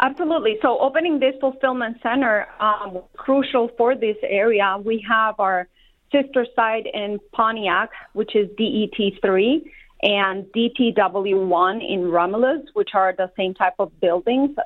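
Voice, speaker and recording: With a Spanish accent, a woman speaks at a fairly high pitch. Her pitch variation is ordinary. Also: fairly slow pace. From Colombia. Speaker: warehouse manager. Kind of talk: interview.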